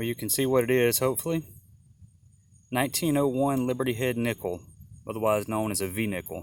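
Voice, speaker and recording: Soft-spoken and medium in pitch, a man talks at a fairly quick pace with ordinary pitch variation, broken by long, frequent pauses. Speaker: metal detecting hobbyist. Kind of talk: casual vlog narration while detecting. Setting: outdoors. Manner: casual halting.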